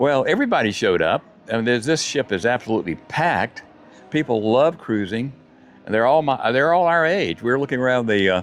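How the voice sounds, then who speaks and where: A man's medium-pitched voice at a very fast pace, with lively intonation and very even loudness. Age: 70s. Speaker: retiree vlogger. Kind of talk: casual chat. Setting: outdoors. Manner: halting.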